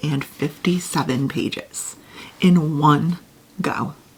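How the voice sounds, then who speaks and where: A quiet woman's voice with fairly low pitch. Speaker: booktuber. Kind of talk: casual chat. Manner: quiet, low voice.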